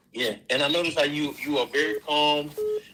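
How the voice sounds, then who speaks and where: A man's fairly high-pitched voice at a fairly quick pace against noticeable background noise. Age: 60s. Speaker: schoolteacher and coach. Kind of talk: live stream call-in chat.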